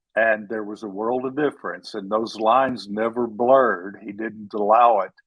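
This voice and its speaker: With a Texan accent, a man talks at medium pitch with fairly even intonation and big swings in loudness. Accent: Texan drawl. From Texas. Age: 70s. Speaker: author. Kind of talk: interview.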